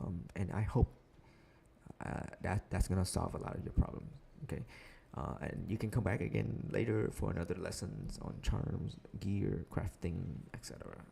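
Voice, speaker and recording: With vocal fry and a dark, mellow tone, a man speaks at a very deep, low pitch, his pitch swinging very widely between long, frequent pauses. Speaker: gaming streamer. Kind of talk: live stream game tutorial. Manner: fast.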